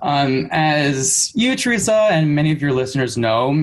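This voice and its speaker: A man with an American accent in a normal speaking voice, fairly quick pace and lively intonation. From US Midwest, Michigan. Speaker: speech-language pathologist and researcher. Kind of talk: interview about clinical research. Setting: remote recording at parents' home.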